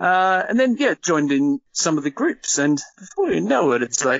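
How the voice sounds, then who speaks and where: A man at a moderate pace, very wide pitch swings, in an Australian accent. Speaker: toy collector. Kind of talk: podcast interview. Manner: casual, hesitant fillers.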